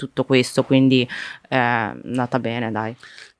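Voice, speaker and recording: Speaking at a fairly quick pace, a woman uses a very deep, low pitch with monotone, flat intonation, in a dry, close sound with no echo. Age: 20s. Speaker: startup founder and political communicator. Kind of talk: casual chat.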